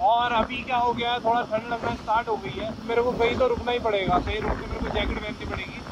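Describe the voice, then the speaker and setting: An extremely high-pitched male voice, dry with no echo, over noticeable background noise. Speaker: solo motorbike vlogger. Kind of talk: casual vlog chat. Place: motorbike.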